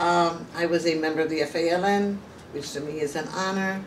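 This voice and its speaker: A woman with a Puerto Rican accent and fairly even intonation, with audible room echo and noticeable background noise. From Puerto Rico. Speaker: former political prisoner. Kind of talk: interview.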